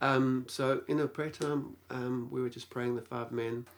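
Fairly even intonation marks a man's unremarkable speaking voice at a medium pitch. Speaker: pastor and teacher. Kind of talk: interview, storytelling.

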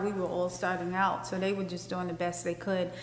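The intonation is monotone and flat. Audible room echo and noticeable background noise are present. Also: woman. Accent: New York. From Brooklyn, New York (Bed Stuy). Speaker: fashion designer. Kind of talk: interview in front of live audience. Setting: stage with live audience.

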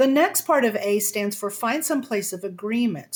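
On a very clean recording with a silent background, a woman speaks in a fairly high, somewhat breathy voice at a moderate pace with lively intonation. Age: 60s. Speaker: communication coach. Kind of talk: interview.

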